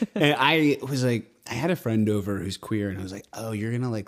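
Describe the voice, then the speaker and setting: A man with a normal speaking voice and an American accent, medium in pitch, at a moderate pace with ordinary pitch variation. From Austin, Texas. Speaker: podcast host and commercial producer. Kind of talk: casual chat. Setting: studio.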